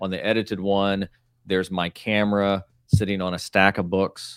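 In a very clean recording with a silent background, a man with a fairly low pitch speaks in a flat monotone. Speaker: YouTuber and author. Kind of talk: casual chat. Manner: relaxed, natural.

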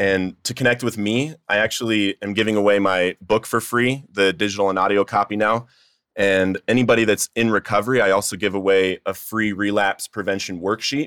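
This is an ordinary speaking voice, a man with a fairly low pitch talking at a fairly quick pace with fairly even intonation, recorded very cleanly against a silent background with a dry, close sound and no echo. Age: 30s. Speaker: author in addiction recovery. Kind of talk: testimony. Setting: studio.

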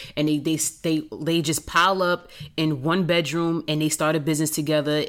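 In a New York accent, a woman speaks at a fairly quick pace in a very deep, low pitch, on a very clean recording with a silent background. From Queens, New York. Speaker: entrepreneur. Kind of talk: casual chat.

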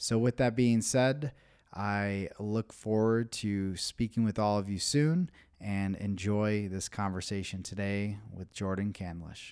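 Using an ordinary speaking voice, a man with a fairly low pitch and ordinary pitch variation talks at a fairly slow pace on a very clean recording with a silent background. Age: 30s. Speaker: podcast host, men's coach. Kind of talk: scripted intro and promo; interview conversation.

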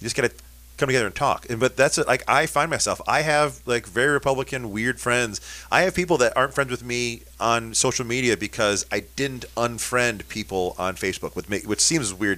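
Fairly quick and with vocal fry, a man talks in an American accent with a bright, sharp tone. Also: medium pitch for a man, ordinary pitch variation. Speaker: radio host. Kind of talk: casual chat. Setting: studio.

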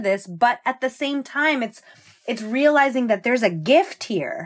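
On a very clean recording with a silent background, a woman talks with a New Jersey accent in a fairly high pitch. Her intonation is lively and her pace moderate. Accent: New Jersey American. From New Jersey, Jersey Shore. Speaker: dancer and choreographer. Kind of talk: casual chat.

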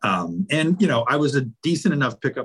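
At a moderate pace, a man with an American accent and an ordinary speaking voice talks with lively intonation. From Virginia (Roanoke). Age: 40s. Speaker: lawyer. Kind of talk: casual chat.

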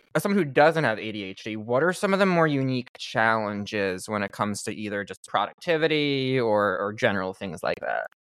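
A man with an American accent and an unremarkable speaking voice talks at a medium pitch and a moderate pace. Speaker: podcast host. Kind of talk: casual interview chat. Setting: remote call.

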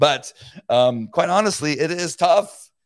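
With a Californian accent, a man speaks at a high pitch on a very clean recording with a silent background. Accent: Californian American English. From Southern California (La Mirada). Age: 60s. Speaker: podcast host, former police officer. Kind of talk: live-streamed solo talk. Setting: live video stream.

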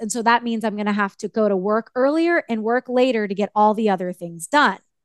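A woman's unremarkable speaking voice, fairly high in pitch and fairly quick, dry and close with no echo over a quiet background. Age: 40s. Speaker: life coach and author. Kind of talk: interview.

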